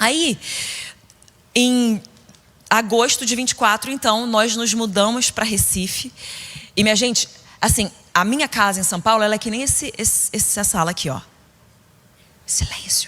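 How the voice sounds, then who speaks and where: Animated in tone, a woman talks at a fairly high pitch with ordinary pitch variation. Her pace is moderate, broken by long, frequent pauses. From Brazil, Rio de Janeiro state (Niterói). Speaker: preacher. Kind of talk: sermon.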